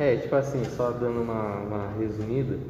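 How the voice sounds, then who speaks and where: Over noticeable background noise and audible room echo, a man talks at a moderate pace in a medium pitch with monotone, flat intonation. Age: 20s. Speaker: marketing student. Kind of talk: casual interview.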